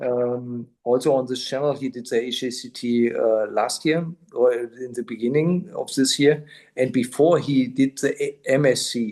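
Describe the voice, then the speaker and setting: A man talks with a German accent. His pace is fairly slow and his intonation fairly even. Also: medium pitch for a man. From southern Germany. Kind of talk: interviewer on video call.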